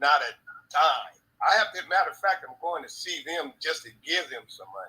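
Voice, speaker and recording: The speaker keeps a moderate pace while the loudness swings widely. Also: man. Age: 60s. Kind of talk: casual chat.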